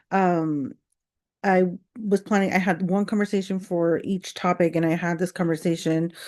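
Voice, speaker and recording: With a quiet background, a woman speaks at a moderate pace and medium pitch, using fairly even intonation. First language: not English. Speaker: content creator. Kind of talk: casual rant vlog. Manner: rambling with many fillers.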